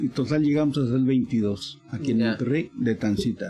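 Music plays in the background under a voice with ordinary pitch variation. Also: man. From Michoacán, Mexico. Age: 70s. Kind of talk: interview storytelling.

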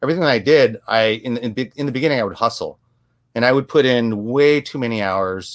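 In an American accent, a man talks at a fairly quick pace with medium pitch, ordinary pitch variation and an unremarkable speaking voice. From US, Korean American family. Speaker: photographer and videographer. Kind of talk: interview.

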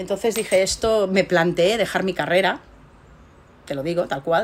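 A woman uses a normal speaking voice at a medium pitch and moderate pace. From Spain, Barcelona. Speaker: research scientist. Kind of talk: interview.

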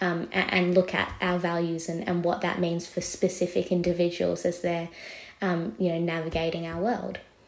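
With an Australian accent, a woman speaks in a fairly low pitch and a monotone, flat intonation, and noticeable background noise is present. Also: moderate pace. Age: 20s. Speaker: journalist. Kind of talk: interview.

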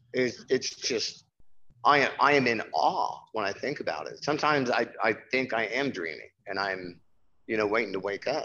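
With an American accent, a man speaks at a medium pitch and moderate pace, his tone bright and sharp, his intonation lively, with vocal fry. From Nebraska, US Midwest. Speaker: newspaper designer and music venue owner. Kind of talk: casual interview.

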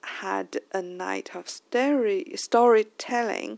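A woman with a Chinese accent, in a very clean recording with a silent background and a dry, close sound with no echo. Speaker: podcast host. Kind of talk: casual monologue. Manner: halting.

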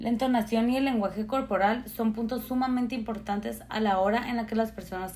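The delivery comes at a fairly quick pace with hardly any pauses and fairly even intonation. Noticeable background noise is present. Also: woman. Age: 20s. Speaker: fashion image design graduate. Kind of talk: prepared talk.

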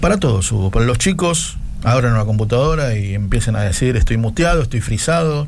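In a room with audible echo and noticeable background noise, a man at medium pitch speaks at a fairly quick pace with lively intonation and very even loudness. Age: 50s. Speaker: radio host. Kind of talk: casual radio chat. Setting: home radio studio.

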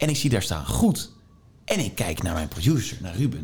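A man's voice swings very widely in pitch. It sounds somewhat breathy. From Netherlands, Tilburg (North Brabant). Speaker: radio DJ. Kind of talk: interview conversation. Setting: meeting room.

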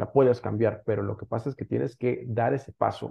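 This man has a medium pitch and vocal fry. His pitch varies in an ordinary way. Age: 30s. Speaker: digital entrepreneur. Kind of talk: interview.

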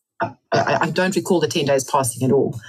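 A woman's very deep, low voice at a moderate pace, ordinary pitch variation, music in the background. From England. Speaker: author and ultramarathon runner. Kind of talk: interview.

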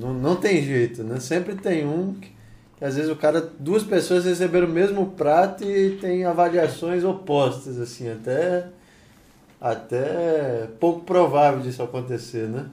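With a plain, everyday voice, a man speaks at a fairly high pitch with lively intonation. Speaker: podcast co-host. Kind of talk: casual chat.

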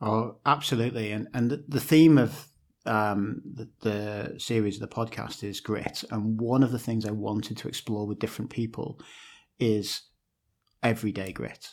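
Recorded very cleanly against a silent background, a man with a plain, everyday voice speaks at a moderate pace and medium pitch, with fairly even intonation. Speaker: podcast host. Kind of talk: casual interview.

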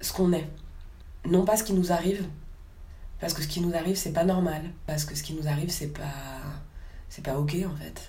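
The voice has a dark, mellow tone, somewhat breathy, with fairly even intonation but big swings in loudness. The pace is fairly quick with long, frequent pauses, and room echo is audible. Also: woman, fairly low pitch for a woman. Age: 30s. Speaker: circus clown and actress. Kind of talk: interview. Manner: halting, many hesitations.

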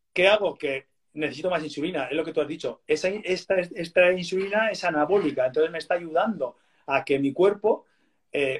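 With ordinary pitch variation and a moderate pace, a man talks in an ordinary speaking voice. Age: 40s. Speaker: athlete and diabetes educator. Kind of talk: interview.

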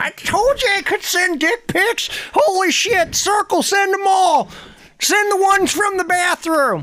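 Someone puts on a character voice with an extremely high pitch and delivers it at a fairly slow pace. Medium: comedy sketch. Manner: crude, cursing.

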